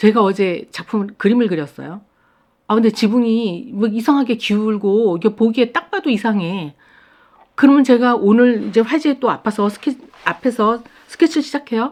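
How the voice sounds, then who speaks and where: Speaking with lively intonation at a moderate pace, a woman keeps her pitch fairly high. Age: 60s. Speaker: watercolor artist. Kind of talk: casual talk to camera. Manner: hesitant fillers.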